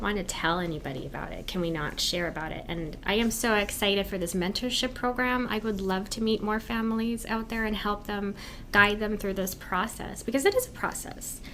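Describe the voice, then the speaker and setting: In an American accent, a woman speaks at a moderate pace with ordinary pitch variation. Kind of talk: interview.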